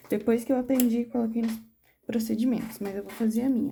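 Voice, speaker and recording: A soft-spoken woman's voice, fairly high-pitched, with a dark, mellow tone, somewhat breathy delivery and fairly even intonation. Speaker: nail technician instructor. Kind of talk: tutorial.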